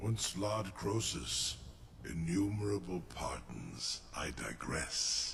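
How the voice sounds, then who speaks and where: A man's put-on character voice, very deep and low, at a very slow pace amid clear background noise. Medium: video game. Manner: slow, grave, formal.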